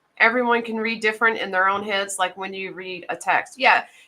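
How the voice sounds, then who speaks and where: With a slight Southern US accent, a woman speaks at a moderate pace in a bright, sharp tone with a medium pitch and ordinary pitch variation. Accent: slight Southern twang. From Mississippi. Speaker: knife channel host. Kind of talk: casual chat. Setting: live stream.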